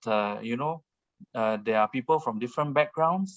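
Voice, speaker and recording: The speaker is a man with a Singaporean accent and a fairly high pitch. The sound is dry and close, without echo. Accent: Baba Peranakan Singaporean. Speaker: author and speaker on history. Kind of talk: online talk Q&A answer. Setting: video call. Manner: hesitant with many fillers.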